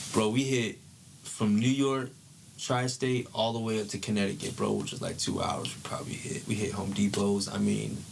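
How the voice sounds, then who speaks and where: With an American accent, a man speaks at a fairly low pitch and moderate pace with fairly even intonation, amid audible room echo and noticeable background noise. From San Diego County, California. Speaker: former football player. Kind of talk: podcast interview, life story. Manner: casual, slangy.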